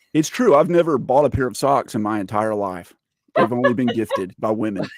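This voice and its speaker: A man with an unremarkable speaking voice and medium pitch talks at a fairly quick pace with lively intonation. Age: 40s. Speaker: gaming YouTuber. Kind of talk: casual chat.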